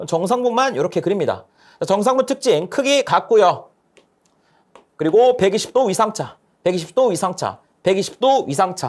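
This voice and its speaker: The speaker talks at a moderate pace, broken by long, frequent pauses. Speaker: lecturer. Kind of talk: lecture.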